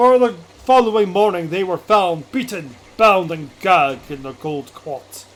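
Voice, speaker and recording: A man puts on a character voice, high-pitched and strained, with lively intonation and a pompous, theatrical tone at a moderate pace. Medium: game stream. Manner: archaic, pompous, theatrical.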